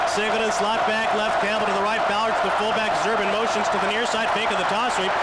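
A man over loud background noise. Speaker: radio play-by-play announcer. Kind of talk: live radio sports play-by-play commentary. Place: booth.

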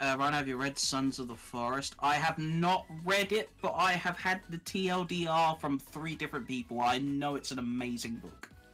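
A man with a British accent, fairly high in pitch, at a moderate pace with ordinary pitch variation over music in the background. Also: hardly any pauses. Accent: British, mistaken by some for Australian. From southern England, near London. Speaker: fellow streamer and miniature painter. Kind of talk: casual chat.

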